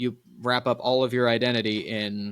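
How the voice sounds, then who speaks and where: With an American accent, this man's voice sits at a medium pitch. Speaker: podcast host. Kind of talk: casual chat.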